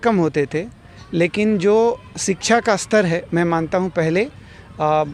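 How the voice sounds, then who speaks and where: A man with a Bihari accent speaks in a high voice with ordinary pitch variation. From Bihar, Gopalganj. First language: Bhojpuri (speaking Hindi). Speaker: film actor. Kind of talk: interview. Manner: halting, many fillers.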